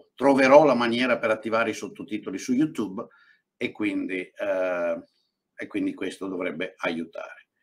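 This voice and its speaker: A man with an Italian accent and lively intonation. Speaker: economist and channel host. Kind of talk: discussion.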